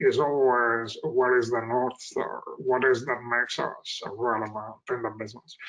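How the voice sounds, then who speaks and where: A man speaks with a bright, sharp tone. His pace is moderate. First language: not English (English is his third language). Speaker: IT executive. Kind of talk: interview. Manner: hesitant, many fillers.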